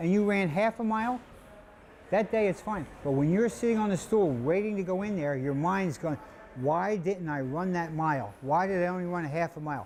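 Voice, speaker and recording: Fairly quick speech from a man with an American accent, high in pitch, with lively intonation. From New Jersey (Trenton). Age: 70s. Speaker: boxing gym owner. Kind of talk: interview.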